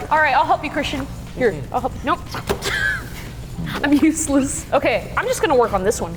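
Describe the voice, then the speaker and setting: Loud and animated, a woman with a high voice speaks with long, frequent pauses while music plays in the background. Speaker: slime company content creator. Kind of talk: casual chat. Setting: warehouse.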